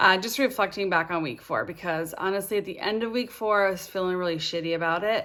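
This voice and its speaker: A woman at a very fast pace with hardly any pauses and ordinary pitch variation. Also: medium pitch for a woman. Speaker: fitness vlogger. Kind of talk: personal video diary. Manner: casual, hesitant with fillers.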